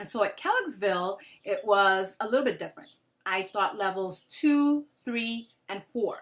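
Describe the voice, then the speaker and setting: A woman with an American accent at a fairly high pitch, moderate pace and ordinary pitch variation, with big swings in loudness. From Brooklyn, New York City. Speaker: Spanish teacher. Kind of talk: job application video. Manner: casual, many filler ums.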